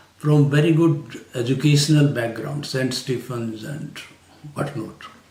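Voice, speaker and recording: With a Haryana accent, a man speaks at a fairly slow pace and medium pitch, with ordinary pitch variation and audible room echo. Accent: Indian English, Haryanvi. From India, rural Haryana. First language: Hindi/Haryanvi. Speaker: retired civil servant. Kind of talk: interview. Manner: hesitant, many fillers.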